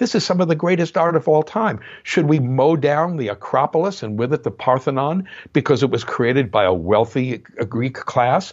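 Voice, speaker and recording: Talking at a moderate pace with lively intonation, a man with an American accent has an unremarkable speaking voice pitched fairly high. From New Jersey. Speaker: music historian and composer. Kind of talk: interview.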